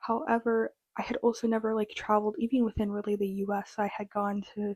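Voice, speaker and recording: A woman with an American accent, a fairly high pitch, monotone, flat intonation and a fairly quick pace. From US Midwest, rural Minnesota. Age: 20s. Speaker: vlogger, college student. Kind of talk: personal storytelling vlog. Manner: casual, filler-heavy.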